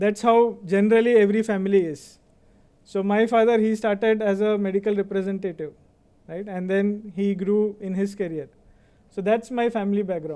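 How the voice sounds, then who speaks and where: A man with an Indian accent, a high pitch and a dark, mellow tone at a moderate pace. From India (Baroda, Gujarat). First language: Kannada. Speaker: finance executive, convocation speaker. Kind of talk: speech.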